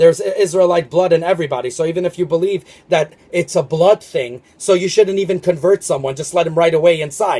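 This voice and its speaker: A man with a high pitch talks at a very fast pace with hardly any pauses. His intonation is fairly even, and there is noticeable background noise. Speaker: religious video commentator. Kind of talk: spiritual monologue video. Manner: halting, many fillers.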